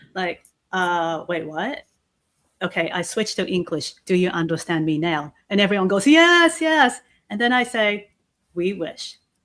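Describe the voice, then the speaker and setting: With a Japanese accent, a woman at medium pitch talks at a fairly slow pace with lively intonation. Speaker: keynote speaker and host. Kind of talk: casual chat. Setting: livestream video call. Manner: halting.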